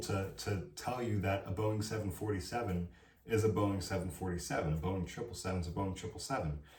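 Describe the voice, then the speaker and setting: Over noticeable background noise and with audible room echo, a man speaks in an animated tone at a fairly low pitch and a fairly quick pace. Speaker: college student vlogger. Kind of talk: advice vlog monologue.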